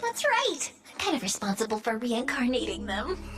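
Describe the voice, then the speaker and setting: A high, female-sounding cartoonish character voice talks at a moderate pace over clear background noise. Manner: cheerful, playful.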